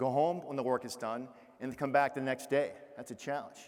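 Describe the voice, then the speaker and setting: A man with a Boston accent talks at a fairly quick pace and a fairly high pitch. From Massachusetts, Boston area. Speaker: keynote speaker, retired Navy officer. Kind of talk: keynote speech. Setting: stage with audience.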